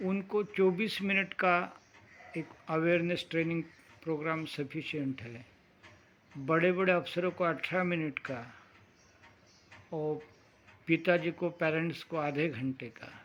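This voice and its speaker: The speech has long, frequent pauses and big swings in loudness. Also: man, high pitch for a man, ordinary pitch variation. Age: 60s. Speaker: meditation teacher. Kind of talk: talk on meditation program.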